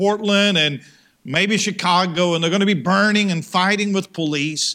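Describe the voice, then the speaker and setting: Projecting a raised voice, a man with an American accent speaks at a high pitch and a moderate pace, with ordinary pitch variation and a bright, sharp tone. The recording is very clean, with a silent background. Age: 50s. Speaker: pastor. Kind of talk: sermon. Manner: repetitive false starts.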